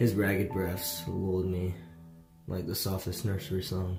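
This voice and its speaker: A man's very deep, low voice moves at a moderate pace as music plays in the background. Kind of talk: horror story narration.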